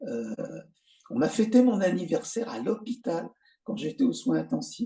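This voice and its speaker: This voice has a dark, mellow tone, a moderate pace and ordinary pitch variation. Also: man, high pitch for a man. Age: 70s. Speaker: stroke survivor, musician. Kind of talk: interview testimony. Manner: halting, many hesitations.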